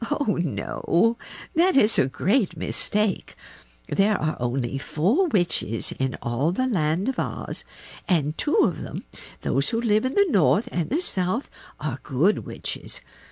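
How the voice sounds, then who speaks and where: Putting on a character voice, a woman of medium pitch speaks at a fairly slow pace in a calm, gentle tone. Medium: read story. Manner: calm, gentle, grandmotherly.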